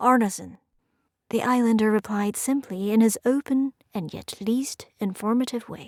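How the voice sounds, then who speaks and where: At a fairly slow pace, a woman speaks with ordinary pitch variation in a dry, close sound with no echo. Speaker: audiobook narrator. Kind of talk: audiobook narration.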